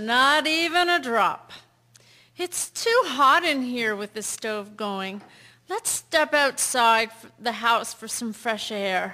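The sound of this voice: A put-on character voice, bright and sharp in tone, slow in pace, with lively intonation. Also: woman, fairly high pitch for a woman.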